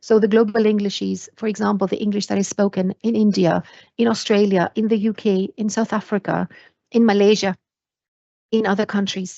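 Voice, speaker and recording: Speaking in a non-native accent, a woman with a medium pitch keeps a moderate pace and fairly even intonation. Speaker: university lecturer. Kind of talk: lecture. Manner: hesitant fillers.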